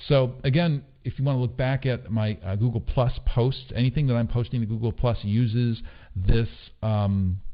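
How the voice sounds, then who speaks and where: A man speaks at a medium pitch. His pitch varies in an ordinary way. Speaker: online marketing trainer. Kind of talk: online course lecture. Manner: fast.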